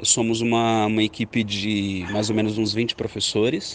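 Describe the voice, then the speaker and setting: This man has a normal speaking voice, pitched at a medium level and delivered at a moderate pace. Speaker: history teacher. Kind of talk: interview testimony.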